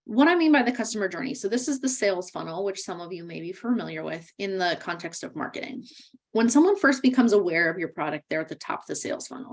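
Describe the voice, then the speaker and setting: Speaking at a very fast pace, a woman at a medium pitch makes very wide pitch swings and big swings in loudness. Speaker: workshop instructor. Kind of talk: webinar lecture. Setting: virtual webinar.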